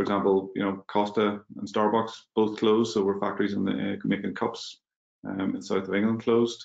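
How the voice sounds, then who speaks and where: In a Mid Ulster accent, a man talks at a fairly quick pace with a fairly low pitch and flat, monotone intonation. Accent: Northern Irish (mid-Ulster). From Northern Ireland, Magherafelt, County Londonderry. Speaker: business executive. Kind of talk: webinar panel discussion.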